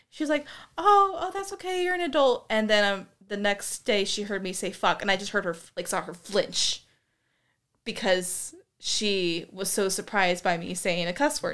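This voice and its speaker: With an American accent, a woman speaks in an ordinary speaking voice at medium pitch and a moderate pace, her intonation lively, in a very clean recording with a silent background. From US Pacific Northwest. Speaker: guest asking questions. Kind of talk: casual chat.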